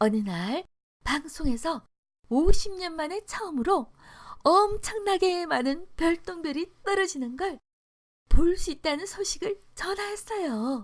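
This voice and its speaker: In a very clean recording with a silent background, a woman speaks very slowly with an extremely high pitch and very wide pitch swings. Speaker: storyteller. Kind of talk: storybook narration.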